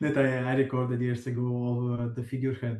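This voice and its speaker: A man with an Italian accent. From southern Italy, Potenza. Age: 40s. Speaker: electronic musician. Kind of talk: interview. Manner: halting, many hesitations.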